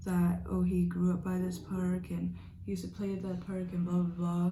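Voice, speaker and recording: Room echo can be heard around the woman. She keeps to a moderate pace. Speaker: beauty vlogger. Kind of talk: casual storytime while doing makeup. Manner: loud.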